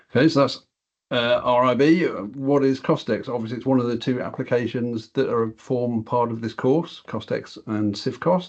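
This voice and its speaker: A man with a British accent talks at a moderate pace and medium pitch. His pitch variation is ordinary, and the background is quiet. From England. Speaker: software product director and quantity surveyor; software trainer presenting. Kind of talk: webinar presentation. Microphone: video call.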